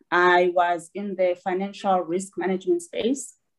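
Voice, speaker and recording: This woman's voice has a medium pitch. She keeps a moderate pace and fairly even intonation. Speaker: rail company chief executive. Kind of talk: panel discussion. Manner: halting, hesitant.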